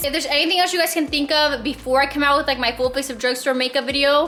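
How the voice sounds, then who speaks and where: Over noticeable background noise, a woman talks at a very fast pace in a high, raised, projected voice with an animated tone. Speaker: beauty vlogger. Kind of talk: casual vlog haul. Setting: store, handheld vlog camera.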